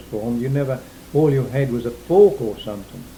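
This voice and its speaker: This speaker has an Essex accent. Noticeable noise runs in the background. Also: man. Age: 60s. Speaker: war-time eyewitness. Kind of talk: oral history interview. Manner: halting.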